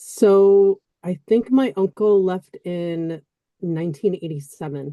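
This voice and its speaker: A woman speaks at a medium pitch with a dark, mellow tone and an American accent. Her pace is very slow. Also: ordinary pitch variation, dry, close sound with no echo. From US Midwest, Chicago. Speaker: former banker, interview guest. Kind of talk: interview.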